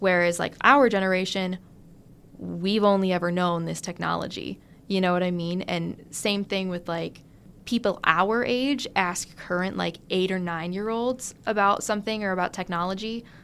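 An unremarkable speaking voice from a woman at medium pitch, moderate pace and fairly even intonation, in a very clean recording with a silent background. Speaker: engineering student. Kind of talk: casual interview.

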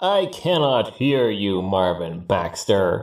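Putting on a booming character voice, a man speaks very slowly at a fairly low pitch. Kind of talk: horror narration. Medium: read story. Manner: imperious, menacing.

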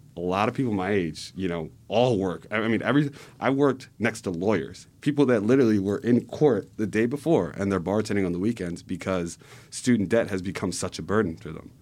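A man with an American accent uses a normal speaking voice at a fairly low pitch. His pace is fairly quick with ordinary pitch variation, on a very clean recording with a silent background. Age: 20s. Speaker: political organizer. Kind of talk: podcast interview. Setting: studio.

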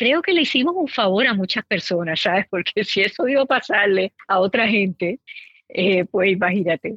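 Her loudness very even, a woman speaks at a moderate pace and medium pitch with lively intonation. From Puerto Rico. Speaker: podcast host. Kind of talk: casual chat.

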